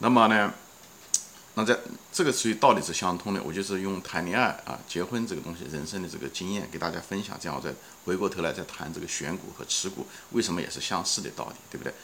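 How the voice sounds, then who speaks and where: A man talks at a very fast pace in a very deep, low voice. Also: ordinary pitch variation. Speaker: podcast host. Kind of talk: solo investing talk. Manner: casual with many fillers.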